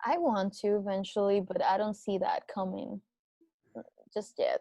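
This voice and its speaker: A woman with a Venezuelan accent at a moderate pace. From Venezuela, Andes region. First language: Spanish. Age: 20s. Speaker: podcast guest. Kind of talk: casual chat. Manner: halting.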